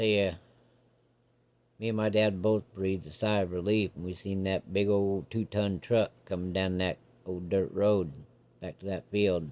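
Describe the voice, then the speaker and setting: Doing a put-on character voice in a rural American accent, a man drawls at a moderate pace with long, frequent pauses, a fairly low pitch and fairly even intonation. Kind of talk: campfire ghost story. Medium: solo performance. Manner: folksy, drawling.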